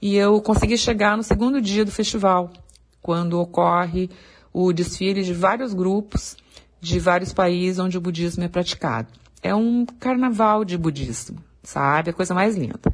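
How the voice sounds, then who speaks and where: A somewhat breathy woman's voice at medium pitch and moderate pace, with ordinary pitch variation and a quiet background. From southern Brazil, Porto Alegre. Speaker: wildlife photographer. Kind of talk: interview.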